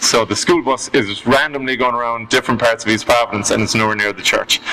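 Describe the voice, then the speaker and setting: A man with an Irish accent speaks at a medium pitch with fairly even intonation. Background noise is noticeable. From Ireland. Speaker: storyteller guest. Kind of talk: casual chat.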